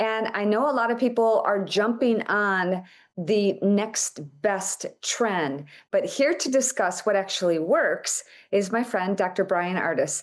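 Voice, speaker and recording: Against a quiet background, a woman with a plain, everyday voice and a medium pitch speaks at a fairly slow pace with lively intonation. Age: 60s. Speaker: talk show host. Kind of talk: talk show hosting.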